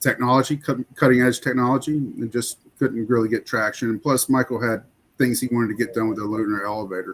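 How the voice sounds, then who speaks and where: A man with a Southern US accent, medium-pitched, at a fairly quick pace. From US South, rural Florida. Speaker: podcast co-host, army veteran. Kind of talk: casual chat.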